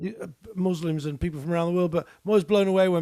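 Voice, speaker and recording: Speaking at a very fast pace, a man with a high pitch talks in a British accent. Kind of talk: casual chat. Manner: animated.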